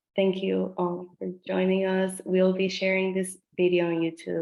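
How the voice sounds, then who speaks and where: A woman's fairly low, dark, mellow voice with a Spanish accent at a fairly slow pace. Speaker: town hall moderator. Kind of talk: closing remarks at zoom town hall. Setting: video call.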